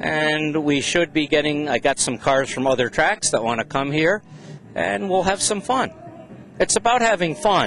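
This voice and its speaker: Pitch swings very widely at a moderate pace. Noticeable background noise can be heard. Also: man, fairly high pitch for a man. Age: 60s. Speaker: race track owner. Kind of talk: interview. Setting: swap meet. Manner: animated.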